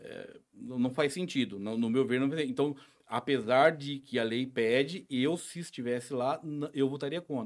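On a very clean recording with a silent background, a man uses an unremarkable speaking voice with ordinary pitch variation. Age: 40s. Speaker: local businessman and social project founder. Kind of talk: casual interview chat.

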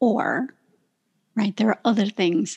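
With an ordinary speaking voice at a medium pitch, a woman talks at a fairly slow pace and fairly even intonation, the sound dry and close with no echo. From southern Ontario, Canada. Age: 50s. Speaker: professional speaker and author. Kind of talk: casual interview conversation.

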